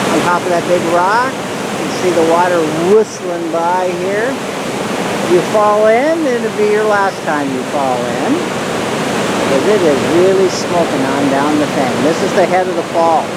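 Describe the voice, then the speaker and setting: Speech moves at a fairly slow pace. Background noise is noticeable. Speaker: boat owner filming travel video. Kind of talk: casual video narration. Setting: outdoors by a waterfall; on a boat's flybridge.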